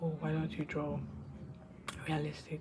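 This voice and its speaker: Speech moves along fairly quickly. Behind it, background noise is noticeable. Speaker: medical student and artist vlogger. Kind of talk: casual vlog. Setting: home room with roommate present. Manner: hesitant, filler-heavy.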